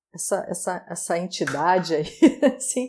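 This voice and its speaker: A woman talks with ordinary pitch variation. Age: 40s. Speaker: style consultant and digital influencer. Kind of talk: casual chat.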